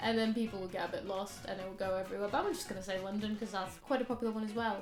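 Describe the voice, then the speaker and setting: Music plays behind a woman who speaks very fast at medium pitch with fairly even intonation. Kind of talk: casual talk to camera.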